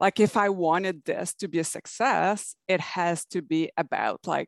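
Fairly low in pitch with vocal fry, a woman talks at a fairly slow pace. The sound is dry and close with no echo, on a very clean recording with a silent background. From Canada. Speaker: online business coach. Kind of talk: interview.

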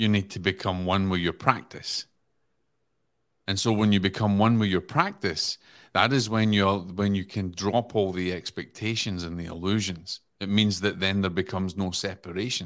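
Recorded very cleanly against a silent background, a man with a Scottish accent speaks in a fairly low voice. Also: moderate pace. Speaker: podcast guest. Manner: storytelling, earnest.

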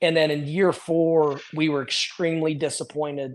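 A man with an American accent talks in a fairly high voice with monotone, flat intonation. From US Midwest. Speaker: college basketball head coach. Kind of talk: interview. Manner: repeats words, fast conversational.

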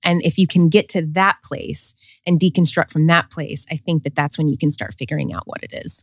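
A woman's very deep, low voice with vocal fry, at a fairly quick pace, on a very clean recording with a silent background. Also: ordinary pitch variation. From US South, small-town Tennessee. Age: 30s. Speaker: coach and author. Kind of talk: casual interview conversation.

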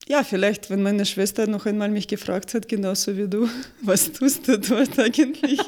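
A woman speaks at a moderate pace with a fairly high pitch and ordinary pitch variation. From Ukraine. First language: Russian or Ukrainian (speaking German). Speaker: marketing expert. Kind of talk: interview. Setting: studio. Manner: halting, many fillers.

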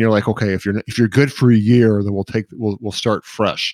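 On a very clean recording with a silent background and a dry, close sound with no echo, a man talks in an unremarkable speaking voice, fairly low in pitch, with ordinary pitch variation. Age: 50s. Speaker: podcast co-host and business advisor. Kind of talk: casual professional discussion.

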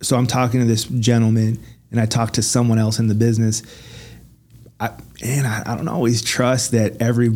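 A man with a plain, everyday voice speaks at a medium pitch and with fairly even intonation. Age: 40s. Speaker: podcast co-host. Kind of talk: casual chat.

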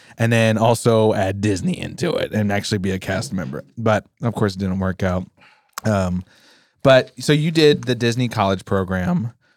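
A man talks at a moderate pace with an American accent and lively intonation. He has a plain, everyday voice. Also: fairly low pitch for a man. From Pennsylvania. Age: 30s. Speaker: podcast co-host. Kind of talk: casual chat. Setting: studio.

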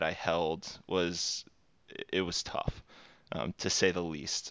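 The accent is Texan. The intonation stays monotone and flat. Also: man. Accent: Texan American. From Texas. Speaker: recruiter. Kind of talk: interview. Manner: halting.

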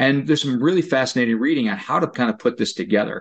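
With a normal speaking voice, a man talks at a fairly quick pace in a fairly high pitch, his intonation lively against a quiet background. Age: 50s. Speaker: occupational therapist. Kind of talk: interview.

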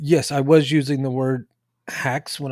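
A man with an ordinary speaking voice at a fairly slow pace, ordinary pitch variation, dry, close sound with no echo, and a very clean recording over a silent background. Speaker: high school math teacher and podcast co-host. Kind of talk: casual co-host conversation about grading.

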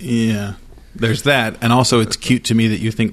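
Talking at a very fast pace, a man with an American accent keeps his intonation fairly even. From Idaho, US. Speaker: employment lawyer. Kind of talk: casual chat.

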